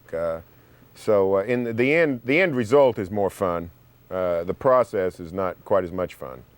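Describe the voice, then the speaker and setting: Lively in intonation, a man with an Oklahoma accent speaks at a fairly low pitch with big swings in loudness. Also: moderate pace. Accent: Oklahoma twang. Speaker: sports writer and radio host. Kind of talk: TV talk show interview.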